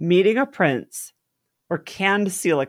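An unremarkable speaking voice moves at a fairly slow pace with lively intonation on a very clean recording with a silent background. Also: woman. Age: 30s. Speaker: podcast co-host. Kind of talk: casual chat.

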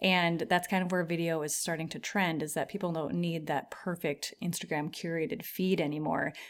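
In a plain, everyday voice, a woman talks at a moderate pace with a fairly low pitch, fairly even intonation and hardly any pauses. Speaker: podcast host. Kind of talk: casual chat.

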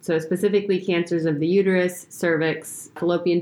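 A woman speaks with an American accent at a fairly quick pace. Her intonation is monotone and flat. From Oregon, US Pacific Northwest. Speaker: gynecologic oncologist. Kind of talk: casual chat with medical explanation.

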